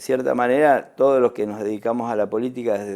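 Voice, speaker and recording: In a dark, mellow tone, a man with an Argentine accent speaks with fairly even intonation. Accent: Rioplatense Argentine Spanish. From Argentina. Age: 60s. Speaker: ambassador. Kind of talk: TV interview. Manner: halting, many fillers and repetitions.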